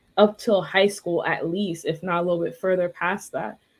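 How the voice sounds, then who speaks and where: Here a woman speaks in a New York accent. Her pitch is medium and her pace moderate. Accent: New York American English. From New York, Queens. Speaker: language tutor. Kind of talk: interview conversation.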